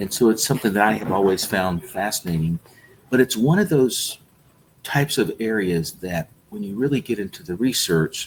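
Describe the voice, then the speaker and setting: In an American accent, a man talks at a moderate pace with lively intonation. His is a normal speaking voice with a fairly low pitch. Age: 60s. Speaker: health supplement company founder. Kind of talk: interview.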